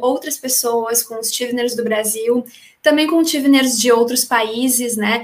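Against noticeable background noise, a woman talks in a high pitch. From small town in Brazil. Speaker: teacher, former scholarship student. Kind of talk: casual interview.

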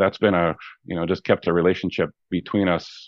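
Fairly quick in pace, a man talks in a very deep, low pitch. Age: 60s. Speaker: construction businessman and mentor. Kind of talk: casual interview.

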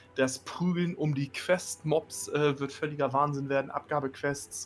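Music plays in the background as a man with a fairly high pitch speaks with fairly even intonation. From northern Germany. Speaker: gaming podcast co-host. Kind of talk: casual chat.

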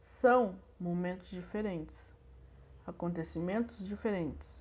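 A woman's somewhat breathy voice at a fairly low pitch, with a fairly slow pace and fairly even intonation. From southern Brazil, Santa Maria. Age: 20s. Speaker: student teacher. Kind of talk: recorded lesson reading.

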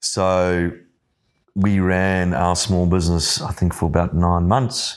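Very deep and low-pitched, a man speaks at a very slow pace on a very clean recording with a silent background. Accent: South African. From South Africa (Johannesburg). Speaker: business owner. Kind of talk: casual chat.

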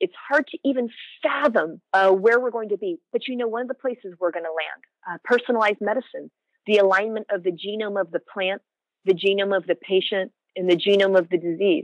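This is an ordinary speaking voice at a fairly quick pace, with ordinary pitch variation. The sound is dry and close, with no echo. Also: woman. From US West Coast (San Francisco Bay Area). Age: 40s. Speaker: cannabis scientist. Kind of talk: interview.

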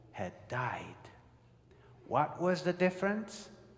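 A man speaks with a non-native accent. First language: not English. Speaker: pastor. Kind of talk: sermon. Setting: church with live congregation.

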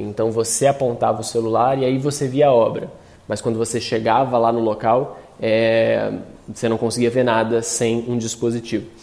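The man's voice sits at a medium pitch, his intonation monotone and flat. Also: moderate pace. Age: 30s. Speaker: designer and artist. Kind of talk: talk.

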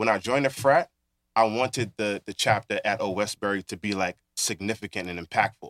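A man with a Brooklyn accent talks at a fairly quick pace and fairly low pitch, in a dry, close sound with no echo on a very clean recording with a silent background. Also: ordinary pitch variation. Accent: New York (Brooklyn). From Brooklyn, New York. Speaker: author and community organizer. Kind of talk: casual interview.

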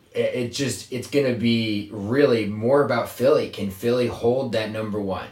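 Through audible room echo and noticeable background noise, a man of medium pitch talks at a moderate pace with hardly any pauses. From Virginia. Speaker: podcast host. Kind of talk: casual chat. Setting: small closet in an apartment. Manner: animated.

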